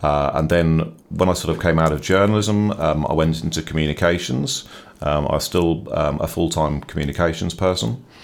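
A very deep, low male voice at a moderate pace, very even in loudness, with ordinary pitch variation, over noticeable background noise. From England, Norwich. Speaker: biographer and former journalist. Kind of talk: interview. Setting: studio.

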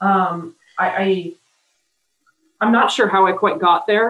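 At a fairly slow pace, a woman with a plain, everyday voice of medium pitch speaks with an American accent and ordinary pitch variation. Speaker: football referee. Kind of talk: interview. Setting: video call.

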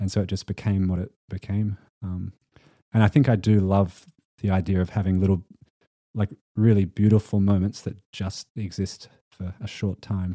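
In an Australian accent, a man speaks at a moderate pace with a fairly low pitch, a dark, mellow tone and monotone, flat intonation, on a very clean recording with a silent background and a dry, close sound with no echo. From Western Australia. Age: 20s. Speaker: singer-songwriter. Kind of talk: casual interview chat.

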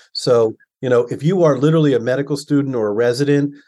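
The voice carries an American accent with ordinary pitch variation. Behind it, the background is quiet. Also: man. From Baltimore, US. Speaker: orthopedic surgeon and podcast host. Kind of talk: casual interview conversation.

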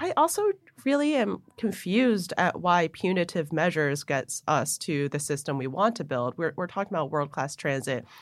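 In a very clean recording with a silent background, a woman uses a plain, everyday voice, fairly low in pitch, with lively intonation at a moderate pace. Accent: American. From Buffalo, New York. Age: 30s. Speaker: transit board director. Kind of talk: interview.

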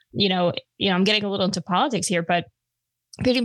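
Someone in a New York accent talks at a very fast pace against a quiet background. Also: woman. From Long Island, New York. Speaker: gun podcaster. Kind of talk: casual interview chat.

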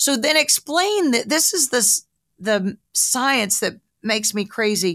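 In a Southern US accent, the speaker goes at a fairly slow pace with lively intonation and very even loudness, in a very clean recording with a silent background and a dry, close sound with no echo. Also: woman, fairly high pitch for a woman. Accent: US South. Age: 60s. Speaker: podcast host, broadcaster and health coach. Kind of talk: casual interview chat.

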